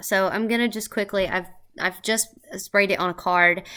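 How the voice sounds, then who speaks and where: Her tone bright and sharp, a woman speaks at a medium pitch and a moderate pace with fairly even intonation. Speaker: beauty and perfume reviewer. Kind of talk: product review. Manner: casual, chatty.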